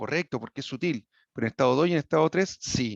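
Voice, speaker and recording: A man talks at a fairly quick pace. The sound is dry and close with no echo, and the background is quiet. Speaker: equine sports medicine veterinarian. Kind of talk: lecture. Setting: video call. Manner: fast; hesitant, with many fillers and restarts.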